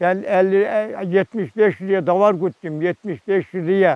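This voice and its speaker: A man with a high pitch speaks fairly slowly, with ordinary pitch variation, in a dry, close sound with no echo. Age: 70s. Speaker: retired shepherd. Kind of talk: documentary interview. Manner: animated.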